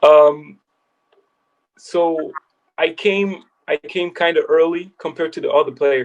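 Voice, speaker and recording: A man's fairly slow delivery with long, frequent pauses. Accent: French. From France, Paris. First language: French. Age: 20s. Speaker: basketball player turned agent. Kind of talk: casual interview. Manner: halting.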